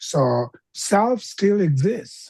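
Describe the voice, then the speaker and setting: Dry and close with no echo, a woman with a non-native accent speaks at a medium pitch in a dark, mellow, somewhat breathy tone with very wide pitch swings. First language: not English. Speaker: Buddhist teacher. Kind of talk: dharma teaching Q&A. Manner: halting.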